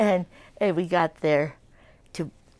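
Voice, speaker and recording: A woman with an American accent speaks at a very slow pace, with vocal fry and fairly even intonation. The recording is very clean, with a silent background. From United States. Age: 80s+. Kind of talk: interview answer.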